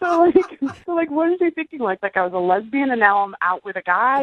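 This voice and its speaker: At a fairly quick pace, a woman with a high pitch speaks with very wide pitch swings in a dry, close sound with no echo. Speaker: date guest calling in to the radio show. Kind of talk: casual talk in radio interview.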